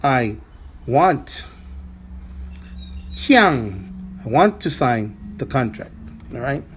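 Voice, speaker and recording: Speaking at a very slow pace, a man leaves long, frequent pauses, and his loudness swings widely. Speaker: language teacher. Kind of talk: lesson. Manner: halting.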